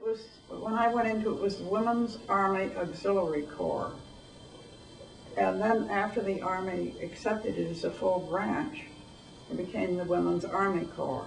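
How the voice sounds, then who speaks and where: Against noticeable background noise, a woman at medium pitch talks at a moderate pace with ordinary pitch variation and big swings in loudness. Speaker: war veteran. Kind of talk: interview answer. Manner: hesitant, reminiscing.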